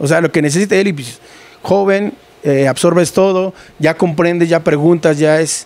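This man has a high-pitched voice with ordinary pitch variation, and the sound is dry with no echo. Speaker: lighting technician. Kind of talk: casual interview. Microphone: handheld.

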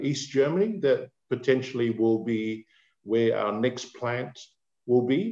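At a slow pace, a man talks at a medium pitch with a slightly mellow tone.

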